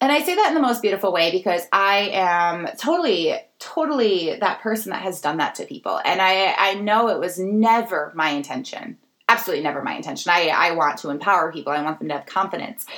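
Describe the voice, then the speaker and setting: This woman's voice sits at a medium pitch. She talks very fast with lively intonation. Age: 30s. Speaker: podcast host and nonprofit founder. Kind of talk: solo podcast monologue.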